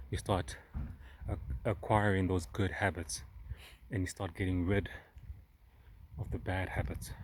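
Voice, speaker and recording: Very deep and low in pitch, a man's voice has vocal fry and a non-native accent. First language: not English. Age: 30s. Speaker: self-help vlogger. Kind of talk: personal vlog monologue. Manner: halting, with fillers and repeats.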